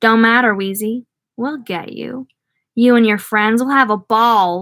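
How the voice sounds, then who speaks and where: Putting on a gravelly character voice, a woman speaks at a fairly slow pace with a fairly high pitch and fairly even intonation. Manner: menacing, with lunatic chumminess.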